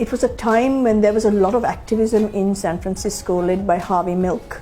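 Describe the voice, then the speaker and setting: A woman's medium-pitched, fairly even voice with an American accent over music in the background. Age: 60s. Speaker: LGBT activist and interviewee. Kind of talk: documentary interview. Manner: hesitant, many fillers.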